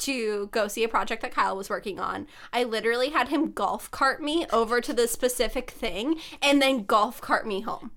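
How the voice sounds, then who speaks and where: A woman with an American accent speaks in an unremarkable speaking voice at a moderate pace, her pitch fairly high with ordinary variation, on a very clean recording with a silent background. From US West Coast, San Diego. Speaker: podcast co-host. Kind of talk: casual chat.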